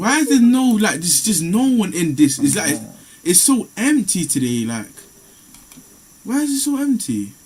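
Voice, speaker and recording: A moderate pace broken by long, frequent pauses, in a London accent with very wide pitch swings. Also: man, high pitch for a man. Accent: London Multicultural English. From UK. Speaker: streamer chatting with strangers online. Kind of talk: casual chat.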